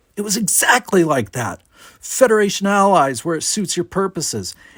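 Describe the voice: A man's put-on character voice, high and fairly bright, with a slightly husky edge, big pitch swings and a moderate pace.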